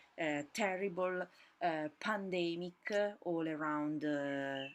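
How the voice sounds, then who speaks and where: With an Italian accent, a woman speaks at a fairly slow pace, her fairly low pitch showing ordinary variation. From Italy. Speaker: podcast host, fashion business owner. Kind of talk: solo podcast monologue. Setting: at home during lockdown. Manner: halting, many fillers. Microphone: laptop mic, audio not perfect.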